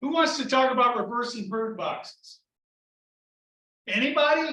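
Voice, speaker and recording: Using a raised, projected voice, a man speaks at a moderate pace with an extremely high pitch, a bright, sharp tone and ordinary pitch variation. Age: 60s. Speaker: beekeeping club president. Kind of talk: club meeting talk. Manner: casual, filler-heavy.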